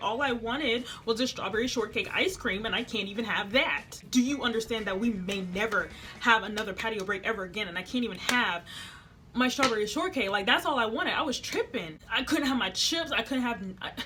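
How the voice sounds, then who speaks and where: Speaking at a fairly quick pace, a woman has a fairly high pitch and an animated tone. Noticeable background noise sits behind her. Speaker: vlogger, air force trainee. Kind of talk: storytime vlog. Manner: fast.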